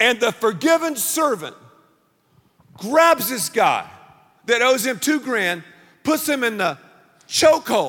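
With a bright, sharp tone, a man speaks at an extremely high pitch with very wide pitch swings and long, frequent pauses. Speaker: pastor. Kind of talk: sermon.

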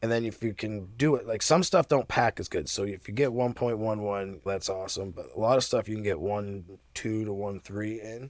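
A man speaks in a normal speaking voice, fairly low in pitch, with ordinary pitch variation and a moderate pace, on a very clean recording with a silent background. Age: 40s. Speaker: cannabis grower. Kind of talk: casual chat. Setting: podcast interview.

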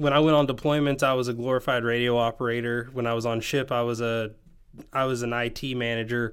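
With a slight Southern US accent, a man talks at a moderate pace. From Tennessee. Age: 20s. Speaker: podcast host. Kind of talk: casual conversation. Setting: video call.

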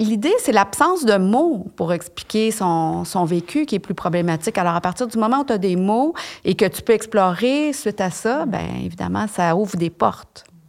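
Speaking at a fairly quick pace with a Quebec accent, a woman uses lively intonation at a medium pitch. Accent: Québécois French. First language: French. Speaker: expert on gamete donation. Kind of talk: interview.

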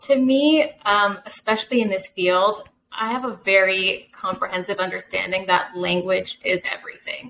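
An unremarkable speaking voice from a woman at medium pitch and moderate pace, with lively intonation, big swings in loudness and hardly any pauses. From USA. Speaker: translation company CEO. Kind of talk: interview.

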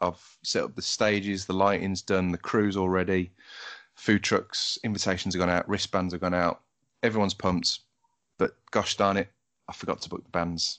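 A man with a very deep, low pitch and monotone, flat intonation, at a moderate pace against a quiet background. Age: 30s. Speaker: podcast host. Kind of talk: casual interview chat; scripted podcast outro.

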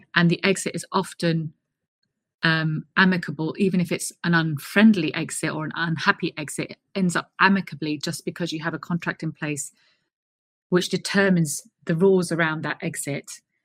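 In a London accent, a woman talks at a moderate pace with monotone, flat intonation, the sound dry and close with no echo. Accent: southern English (London). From South London, England. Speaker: HR consultant, managing director. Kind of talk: interview.

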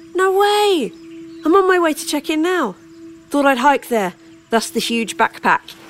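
A woman's extremely high voice with very wide pitch swings, a moderate pace and long, frequent pauses, over noticeable background noise. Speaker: audio drama narrator. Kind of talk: ghost story telling, first-person narration.

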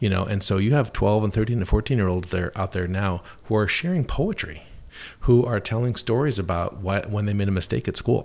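This man has a plain, everyday voice, pitched fairly low and moving at a fairly quick pace. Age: 40s. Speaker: animation studio creative executive. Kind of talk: interview.

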